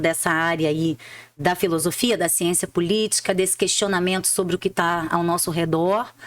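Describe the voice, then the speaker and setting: A woman speaks with a Rio de Janeiro accent at a moderate pace. Her pitch varies in an ordinary way. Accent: Rio de Janeiro (carioca). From Rio de Janeiro, Brazil. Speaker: public prosecutor and author. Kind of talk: interview, personal story.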